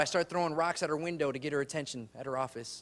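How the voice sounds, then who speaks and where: A man with an American accent speaks at a fairly quick pace with ordinary pitch variation. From Chicago, Humboldt Park. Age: 20s. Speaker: comedian. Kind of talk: stand-up.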